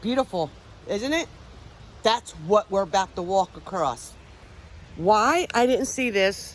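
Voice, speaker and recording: A woman in a Philadelphia accent, medium in pitch, fairly slow, with very wide pitch swings and long, frequent pauses. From Pennsylvania, Philadelphia area. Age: 50s. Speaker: paranormal investigator and vlogger. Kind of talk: casual vlog storytelling. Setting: outdoors on a hiking trail. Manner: loud.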